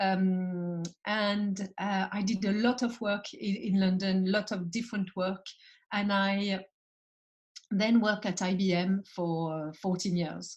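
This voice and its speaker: A somewhat breathy woman with a French accent speaks at a very slow pace and medium pitch, her intonation monotone and flat. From France. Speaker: entrepreneur and founder. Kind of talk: podcast interview. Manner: halting, many fillers.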